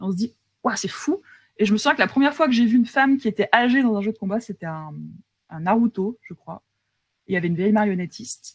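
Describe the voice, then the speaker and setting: A woman's fairly high, somewhat breathy voice at a very fast pace, with lively intonation, big swings in loudness, long, frequent pauses, and a dry, close sound with no echo. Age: 30s. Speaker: video game scriptwriter. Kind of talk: casual interview. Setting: live stream.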